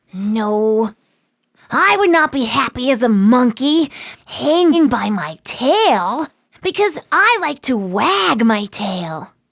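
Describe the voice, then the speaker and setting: This put-on character voice sits fairly high in pitch, swinging very widely up and down at a very slow pace. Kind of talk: read-aloud children's story. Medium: read story.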